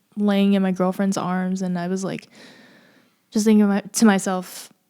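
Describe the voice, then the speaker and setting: In a very clean recording with a silent background, a soft-spoken woman talks at a moderate pace in a medium pitch, her dark, mellow tone held to a monotone, flat intonation. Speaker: singer-songwriter. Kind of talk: casual chat. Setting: live stream.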